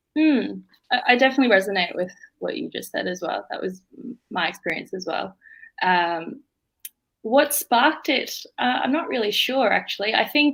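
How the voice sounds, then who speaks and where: Her pitch swings very widely. The woman speaks with an Australian accent. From Australia (Melbourne), Indian-born. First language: Bengali. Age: young. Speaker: law student. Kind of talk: interview. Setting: live stream.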